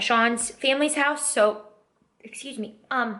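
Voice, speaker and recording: There is audible room echo as a woman speaks in a high pitch. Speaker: lifestyle vlogger. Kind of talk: casual vlog narration. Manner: animated.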